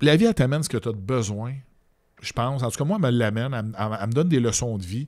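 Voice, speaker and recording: Lively male speech with a Quebec accent at a medium pitch and a fairly quick pace, on a very clean recording with a silent background. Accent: Québécois French. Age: 40s. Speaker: social media personality. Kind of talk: casual interview.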